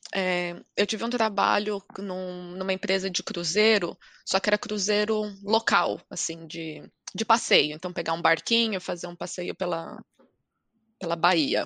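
A bright, sharp tone carries fairly even intonation at a fairly slow pace, the sound dry and close with no echo. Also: woman, medium pitch for a woman. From Brazil. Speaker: podcast guest. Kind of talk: casual chat.

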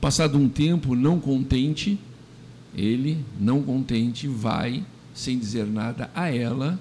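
A man speaks at a very slow pace with a medium pitch and ordinary pitch variation. His tone is dark and mellow. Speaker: radio host. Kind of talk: radio commentary monologue.

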